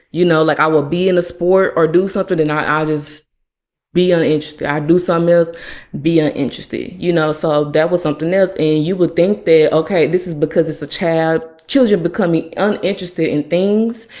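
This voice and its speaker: A woman with an unremarkable speaking voice talks at a fairly quick pace, her pitch fairly low and her pitch variation ordinary. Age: 30s. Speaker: podcast host. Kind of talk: personal testimony.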